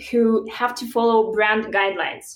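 A woman speaks with a fairly high pitch. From Belarus. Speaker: startup founder. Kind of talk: interview.

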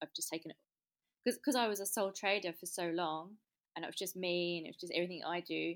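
A woman speaks at a very fast pace in an English accent. Her pitch is fairly low. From England. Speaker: small business owner. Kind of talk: interview. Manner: hesitant, many fillers.

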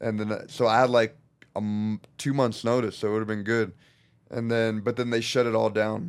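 A man with an unremarkable speaking voice talks at a medium pitch and a moderate pace, his intonation fairly even. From Southern California (Norco). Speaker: mixed martial artist. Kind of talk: casual interview.

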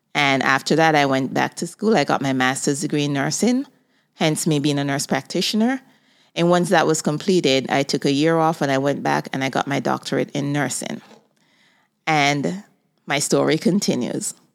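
Recorded very cleanly against a silent background, a woman speaks with a very deep, low pitch and ordinary pitch variation. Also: moderate pace. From Jamaica. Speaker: podcast host and nurse. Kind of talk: personal monologue.

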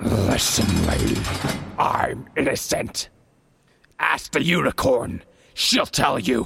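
Putting on a character voice, a man speaks slowly at a medium pitch with big pitch swings. His fairly bright tone carries a husky, rough edge and vocal fry.

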